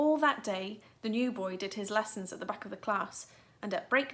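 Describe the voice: Simply plain reading aloud.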